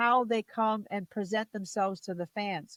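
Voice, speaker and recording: A woman with a plain, everyday voice talks at a moderate pace, her pitch fairly high with ordinary pitch variation. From New Jersey. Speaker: wrestling commentator and ring announcer. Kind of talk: interview answer.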